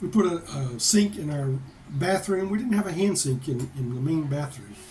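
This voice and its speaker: Lively intonation and an American accent carry through audible room echo. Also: man. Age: 60s. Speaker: vlogger. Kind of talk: casual chat. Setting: home office.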